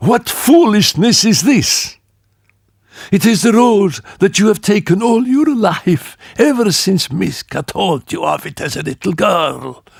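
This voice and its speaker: A man's put-on character voice, husky and high-pitched, at a fairly slow pace. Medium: read story. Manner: wheedling, silken.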